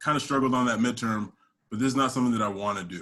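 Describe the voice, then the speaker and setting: This man's pitch rises and falls in an ordinary way. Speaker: strength coach speaker. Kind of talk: talk to an audience.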